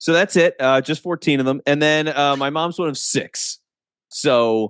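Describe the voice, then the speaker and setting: A man with an American accent speaks at a fairly slow pace and a fairly high pitch, with ordinary pitch variation. The sound is dry and close with no echo, over a quiet background. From US, Philadelphia area (Delaware County). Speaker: podcast producer, former radio broadcaster. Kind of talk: interview conversation.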